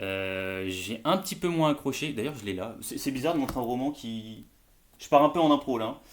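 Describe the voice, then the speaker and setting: A man talks at a moderate pace with medium pitch, lively intonation and big swings in loudness. The recording is very clean, the background silent. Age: 30s. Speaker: bookseller and book youtuber. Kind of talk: casual book review vlog. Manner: hesitant, many fillers.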